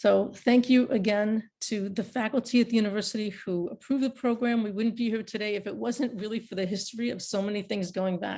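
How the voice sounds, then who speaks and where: A woman with a dark, mellow, somewhat breathy tone speaks fairly quickly with fairly even intonation over a quiet background. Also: fairly high pitch for a woman, hardly any pauses. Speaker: university professor. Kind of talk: closing remarks in a class webinar. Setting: video call webinar. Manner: halting, many fillers.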